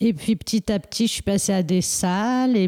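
The woman's tone is dark and mellow. Her pitch varies in an ordinary way. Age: 40s. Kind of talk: interview. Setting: at her home. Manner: halting.

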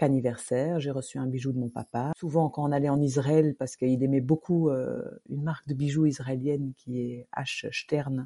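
Delivered at a moderate pace with ordinary pitch variation, the speech has a dry, close sound with no echo against a quiet background. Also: woman. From Luxembourg. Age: 50s. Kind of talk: interview testimony. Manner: halting.

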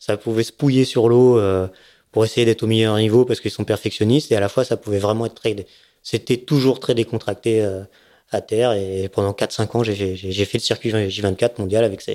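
At a moderate pace, a man speaks with fairly even intonation. His tone is dark and mellow, his pitch medium. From Savoie, France. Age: 40s. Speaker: offshore racing sailor. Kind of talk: casual interview. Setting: at a home. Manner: hesitant, many fillers.

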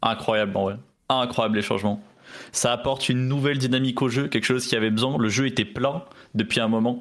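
A man's unremarkable speaking voice at medium pitch, with fairly even intonation and very even loudness. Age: 20s. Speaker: esports player. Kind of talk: interview.

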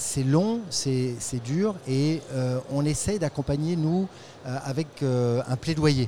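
A male speaker has a fairly high pitch. He talks very slowly. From France. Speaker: international development program manager. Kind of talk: interview. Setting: tech trade show.

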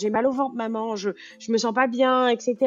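A woman with a high-pitched voice, at a moderate pace. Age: 30s. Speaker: nurse anesthetist and app founder. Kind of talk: interview.

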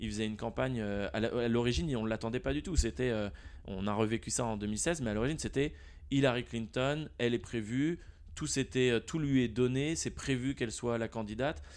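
A man speaks fairly quickly in a plain, everyday voice at a medium pitch, with lively intonation. The background is quiet. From France, Nantes. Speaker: product manager. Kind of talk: casual interview.

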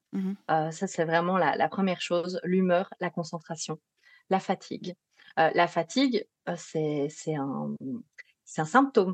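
A woman with a slight Belgian accent speaks very slowly, leaving long, frequent pauses. Her pitch is fairly low with ordinary variation, and the sound is dry and close with no echo. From Belgium. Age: 30s. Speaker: psychologist specialized in sleep disorders. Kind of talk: interview.

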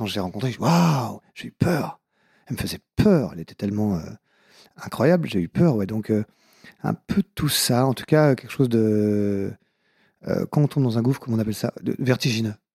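A man with a southwestern French accent speaks at a medium pitch with lively intonation and a dark, mellow tone. The recording is very clean, with a silent background and a dry, close sound with no echo. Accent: southwest French. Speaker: comedian and author. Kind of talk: casual interview. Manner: very fast.

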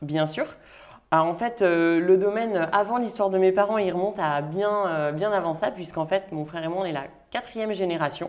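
A woman speaks at a moderate pace in a normal speaking voice. Her pitch is medium, with ordinary variation. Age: 30s. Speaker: winemaker. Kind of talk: interview.

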